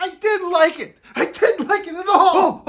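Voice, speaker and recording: This is a put-on character voice, squeaky and pitched extremely high. It moves along at a moderate pace. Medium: comedy sketch.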